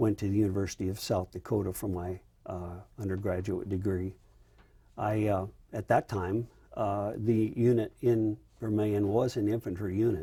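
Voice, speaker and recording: A man with an American accent speaks at a moderate pace in a fairly low, dark, mellow, somewhat breathy voice with monotone, flat intonation. The recording is very clean, with a silent background. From US Midwest, rural Iowa. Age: 70s. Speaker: retired army general, Vietnam veteran. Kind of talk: oral history interview. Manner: hesitant, many fillers.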